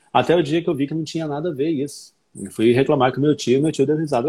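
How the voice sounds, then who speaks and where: A man's fairly high, somewhat breathy voice with a dark, mellow tone and ordinary pitch variation. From southern and northern Brazil (Paraná, Rondônia). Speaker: English teacher and author. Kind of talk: casual chat.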